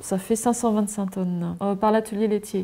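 Her tone is dark and mellow, with fairly even intonation and a medium pitch. The woman keeps a moderate pace.

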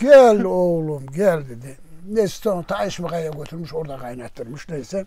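A man talks at a fairly slow pace with very wide pitch swings. His tone is dark and mellow, and the sound is dry with no echo. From Eskil, Aksaray, Turkey. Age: 80s+. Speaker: welder. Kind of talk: interview answer. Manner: casual, storytelling. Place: home room.

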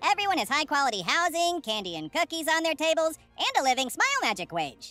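A female-sounding voice does a put-on character voice at an extremely high pitch and a very fast pace. Faint music plays in the background. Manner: upbeat, brisk, wry.

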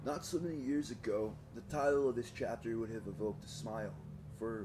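A man's fairly low, dark, mellow voice with vocal fry, at a fairly quick pace. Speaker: audiobook reader. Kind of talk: audiobook reading. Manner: monotonous.

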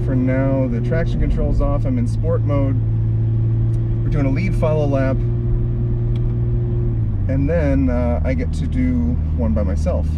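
A man talks at a moderate pace, leaving long, frequent pauses. Loud background noise fills the recording. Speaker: car reviewer. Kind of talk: casual vlog commentary. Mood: excited, curious. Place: car. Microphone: camera far.

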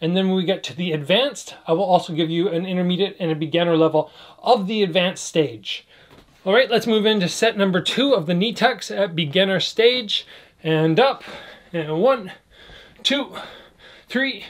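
The delivery moves at a moderate pace with lively intonation. Long, frequent pauses break it up. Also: man. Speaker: fitness instructor. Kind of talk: workout tutorial. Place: home room. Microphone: camera far.

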